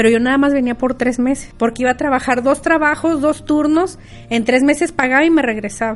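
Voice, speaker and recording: This woman has a high voice with ordinary pitch variation. Her loudness stays very even throughout. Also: fairly quick pace. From Mexico, Río Verde, San Luis Potosí. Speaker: restaurant owner. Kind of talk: interview.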